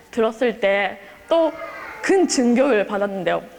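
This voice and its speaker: Background noise is noticeable as a woman speaks at a very slow pace. Her high voice makes very wide pitch swings. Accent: Japanese. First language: Japanese (speaking Korean). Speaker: exchange student. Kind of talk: speech. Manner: halting.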